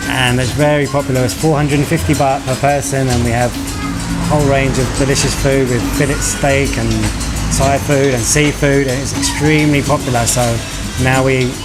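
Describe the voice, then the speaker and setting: A man speaks in a monotone, flat intonation. Music plays in the background. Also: medium pitch for a man, moderate pace, very even loudness. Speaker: resort partner and marketing manager. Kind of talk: interview answer. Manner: soft-spoken.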